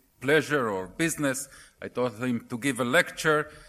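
A man talks at a moderate pace with a strong Argentinian accent and medium pitch. The recording is very clean, with a silent background. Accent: heavy Argentinian. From Argentina. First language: Spanish. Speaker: settler council chairman, lecturer. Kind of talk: lecture.

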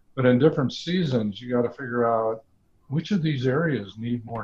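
A man speaks at a moderate pace with a somewhat breathy voice. His pitch is medium, with ordinary variation. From US Midwest, Omaha, Nebraska. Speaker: former business executive. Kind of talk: casual interview.

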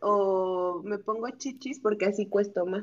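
At a very slow pace, a woman with a Mexican accent speaks at a medium pitch with fairly even intonation. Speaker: guest. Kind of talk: casual chat.

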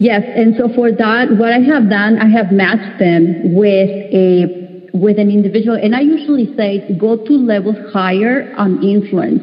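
Fairly high-pitched woman's voice, fairly slow and very even in loudness, with ordinary pitch variation over noticeable background noise. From Mexico. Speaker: talent management consultant. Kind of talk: panel discussion.

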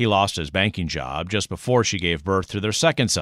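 A man talks at a fairly quick pace with lively intonation, in an unremarkable speaking voice pitched fairly low. The recording is very clean with a silent background, and the sound is dry and close with no echo. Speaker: public radio host. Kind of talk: scripted narration. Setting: studio. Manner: formal.

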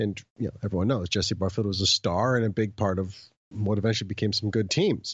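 Here a man talks at a fairly quick pace in a fairly low, somewhat breathy voice. His intonation is fairly even and his loudness very even. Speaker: podcast co-host, baseball commentator. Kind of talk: casual chat about baseball history. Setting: recorded remotely from home.

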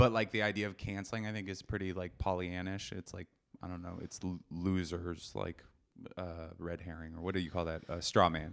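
On a very clean recording with a silent background, a man talks at a fairly quick pace in a very deep, low pitch, his intonation fairly even. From US Pacific Northwest (Seattle). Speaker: comedian. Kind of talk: casual chat.

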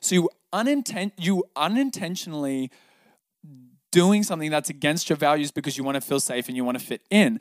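A man with an Australian accent, fairly high in pitch, lively in intonation and fairly quick, on a very clean recording with a silent background and a dry, close sound with no echo. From Sydney, Australia. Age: 20s. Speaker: breathwork and meditation teacher. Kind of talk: casual interview.

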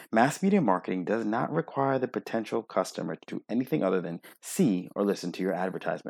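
Over a very clean recording with a silent background, a man with a fairly low pitch and an unremarkable speaking voice talks at a fairly quick pace, the sound dry and close with no echo. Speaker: optometrist and practice owner. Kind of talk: reading aloud.

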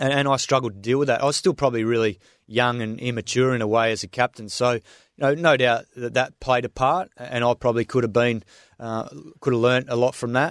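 Delivered at a very fast pace with fairly even intonation, the speech has an Australian accent and a dry, close sound with no echo. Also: man, medium pitch for a man, quiet background. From Western Australia, Swan Valley near Perth. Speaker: former test cricketer and cricket commentator. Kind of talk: casual interview chat. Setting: radio studio.

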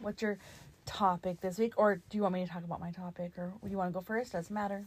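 Very fast and somewhat breathy, a woman speaks at a medium pitch in a flat, monotone way. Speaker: podcast co-host, mother. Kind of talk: show outro; casual chat.

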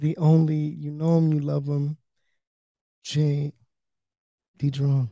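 A man speaks softly at a very slow pace, his fairly high voice dark and mellow in a dry, close sound with no echo. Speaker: podcast host. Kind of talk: casual chat. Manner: soft-spoken.

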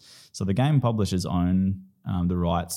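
With an Australian accent, a man speaks at a moderate pace in a very deep, low pitch, his intonation lively. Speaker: PhD researcher and esports program co-founder. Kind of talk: interview. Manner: hesitant, many fillers.

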